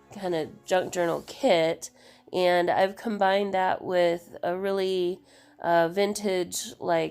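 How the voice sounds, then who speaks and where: With music in the background, a woman speaks very slowly at a medium pitch, her pitch varying in an ordinary way. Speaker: crafting YouTuber. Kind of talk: craft tutorial. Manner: hesitant, many fillers; casual.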